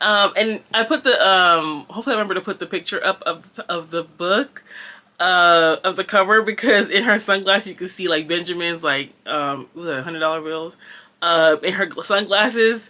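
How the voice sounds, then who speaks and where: A woman's medium-pitched voice with a Southern Californian accent, at a moderate pace with ordinary pitch variation. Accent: Valley girl. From Jamaica. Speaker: book vlogger. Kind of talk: casual book review vlog. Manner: hesitant, many fillers.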